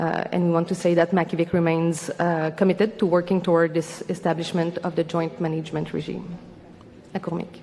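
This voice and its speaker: Fairly low in pitch, a woman speaks in a dark, mellow tone with flat, monotone intonation at a fairly quick pace. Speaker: organization representative at public hearing. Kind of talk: formal presentation. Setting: public hearing. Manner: fast.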